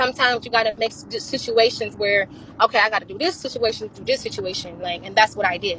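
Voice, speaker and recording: A woman talks at a very fast pace, her loudness swinging widely over noticeable background noise. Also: fairly high pitch for a woman, ordinary pitch variation. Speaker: livestreamer and mother of seven. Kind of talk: heated interview.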